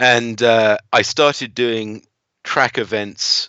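Delivered at a very slow pace with monotone, flat intonation, the speech comes in an English accent. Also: man. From England. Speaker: driving instructor. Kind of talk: casual interview.

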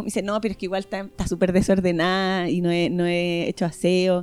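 A woman with a Chilean accent speaks at a fairly quick pace. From northern Chile. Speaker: podcast guest. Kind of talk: casual chat.

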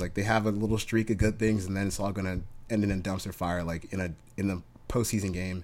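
Very fast, fairly low-pitched male speech in a very clean recording with a silent background. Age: 20s. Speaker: sports betting podcast co-host. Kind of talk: casual chat.

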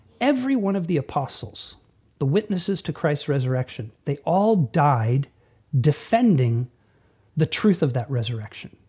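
A man speaks at a moderate pace in a dark, mellow, somewhat breathy voice with very wide pitch swings. The recording is very clean, with a silent background. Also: fairly high pitch for a man. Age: 40s. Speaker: pastor. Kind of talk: teaching monologue. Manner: conversational.

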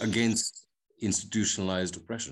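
Fairly low-pitched male voice with ordinary pitch variation against a quiet background. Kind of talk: casual chat. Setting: video call.

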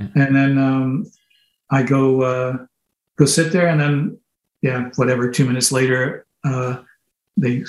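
With ordinary variation in pitch, a man talks in a somewhat breathy voice. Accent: Canadian. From Canada (moved around, military family). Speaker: musician. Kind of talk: interview. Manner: halting.

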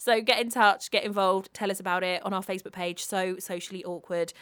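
With a British accent, a woman speaks at a fairly quick pace. Her medium-pitched voice has fairly even intonation. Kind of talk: casual chat.

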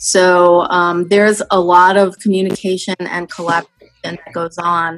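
A woman with an American accent, fairly low in pitch, monotone and flat in intonation, at a moderate pace. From New York City. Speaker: physician executive. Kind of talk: interview.

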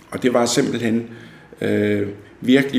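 A man delivers his words fairly slowly while noticeable noise sits in the background. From Denmark, North Zealand (Fredensborg). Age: 60s. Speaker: local historian. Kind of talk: interview. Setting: at his home. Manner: halting, many fillers and repetitions.

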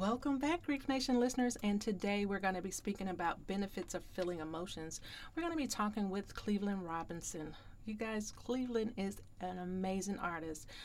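Fairly quick and lively in intonation, a woman speaks at medium pitch in an unremarkable speaking voice. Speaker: podcast host and grief coach. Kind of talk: podcast interview.

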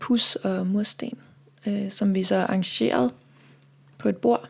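Speaking at a very slow pace, a woman with a dark, mellow tone and medium pitch moves through very wide pitch swings. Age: 30s. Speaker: singer and composer. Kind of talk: interview.

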